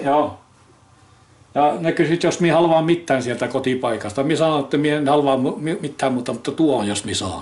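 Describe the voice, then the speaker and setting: At a fairly quick pace, a man talks in a fairly high pitch with ordinary pitch variation. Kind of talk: casual conversation.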